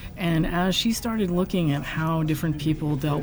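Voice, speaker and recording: A woman with an American accent speaks at a fairly quick pace with ordinary pitch variation. Audible room echo and noticeable background noise are present. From US West Coast, San Francisco Bay Area. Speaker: game studio founder. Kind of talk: casual interview. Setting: conference venue.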